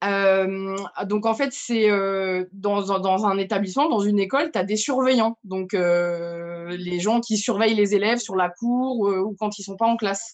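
A woman with a French accent speaks with hardly any pauses and ordinary pitch variation. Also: medium pitch for a woman, moderate pace. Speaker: head of school supervisors. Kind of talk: casual chat. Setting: video call.

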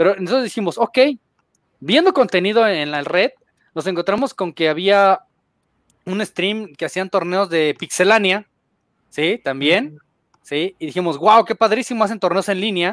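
Recorded very cleanly against a silent background, a man's high-pitched voice sounds dry and close with no echo and shows big swings in loudness. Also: ordinary pitch variation, moderate pace. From Guadalajara, Jalisco, Mexico. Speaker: gaming content creator. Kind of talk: casual chat.

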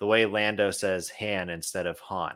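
A man's ordinary speaking voice in an American accent, fairly low in pitch and moderate in pace, in a very clean recording with a silent background. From Idaho, western US. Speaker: comic book podcast co-host. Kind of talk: casual chat.

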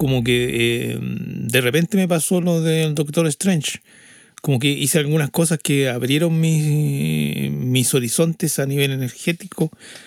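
Noticeable background noise sits behind a man's voice. He talks at a very slow pace with a fairly high pitch. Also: dry, close sound with no echo. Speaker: podcast co-host and audio engineer. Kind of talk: casual chat. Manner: halting.

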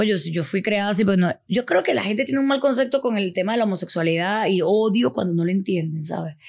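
At a very fast pace and with hardly any pauses, a woman talks in a medium pitch. Her tone is animated and her intonation lively. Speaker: sex educator. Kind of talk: casual chat.

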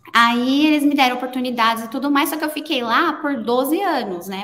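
Bright and sharp in tone, a woman's high-pitched voice moves with lively intonation. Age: 30s. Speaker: designer. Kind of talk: casual interview chat.

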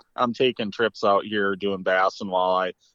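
The intonation stays fairly even. It is a normal speaking voice moving at a moderate pace. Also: man. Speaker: fishing guide. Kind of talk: casual interview. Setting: phone call.

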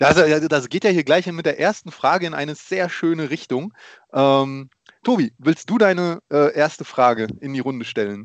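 Lively intonation marks a man's plain, everyday voice at a fairly high pitch. He speaks at a moderate pace. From Germany. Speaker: podcast co-host, father. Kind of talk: casual chat.

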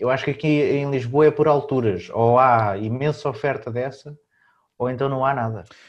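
A man with a plain, everyday voice talks at a moderate pace, his medium pitch moving with ordinary variation. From Portugal. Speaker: podcast host. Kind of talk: casual chat.

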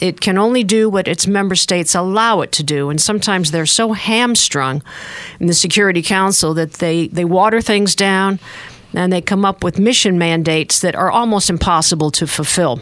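A woman talks at a fairly quick pace with very even loudness and ordinary pitch variation. She has a plain, everyday voice at a medium pitch. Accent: American. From upstate New York. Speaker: retired UN peacekeeping staff member. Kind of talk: radio interview. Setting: studio.

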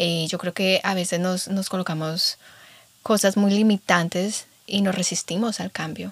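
A woman speaks at a medium pitch and a fairly slow pace. Her intonation is flat and monotone. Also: dry, close sound with no echo. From Colombia. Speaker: podcast host. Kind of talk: casual chat.

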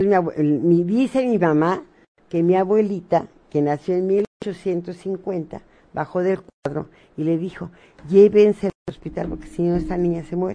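Fairly slow and dark, mellow in tone, the voice moves with ordinary pitch variation. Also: woman, fairly low pitch for a woman. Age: 60s. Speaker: spiritual medium. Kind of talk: radio interview.

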